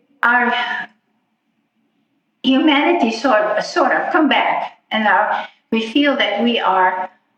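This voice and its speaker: With a non-native accent, a woman with a high pitch speaks at a very slow pace. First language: not English. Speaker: affordable housing resident. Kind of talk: personal story told in interview.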